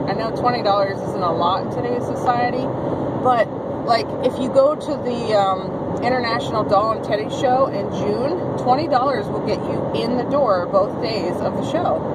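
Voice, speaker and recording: Loud background noise sits behind a woman speaking. She talks at a moderate pace with ordinary pitch variation. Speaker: vlogger. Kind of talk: casual vlog chat. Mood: upbeat, excited about giveaway. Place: car. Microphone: phone near.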